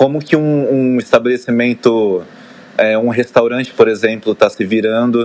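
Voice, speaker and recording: His intonation stays fairly even as a man speaks at a moderate pace. The man has an ordinary speaking voice. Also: medium pitch for a man. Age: 20s. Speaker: dancer and fitness trainer. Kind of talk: casual chat.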